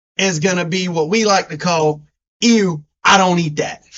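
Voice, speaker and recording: A man with a strong Southern US accent, fairly slow in pace and animated in tone. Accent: deep Southern US. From US South. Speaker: sports podcast co-host. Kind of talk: casual chat.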